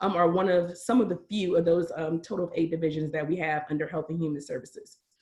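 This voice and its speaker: At a very fast pace, a woman speaks in a somewhat breathy, fairly low-pitched voice. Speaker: county reentry office director. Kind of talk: webinar presentation.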